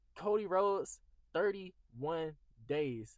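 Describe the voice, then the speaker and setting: A man is speaking. His intonation is lively. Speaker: wrestling YouTuber. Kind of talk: casual rant video with reading aloud. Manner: halting, stumbling over reading.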